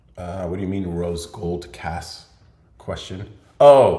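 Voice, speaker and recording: A man speaks in a very deep, low pitch, somewhat breathy. Audible room echo surrounds his voice. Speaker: podcast host. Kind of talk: live Q&A stream. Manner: casual, filler-heavy.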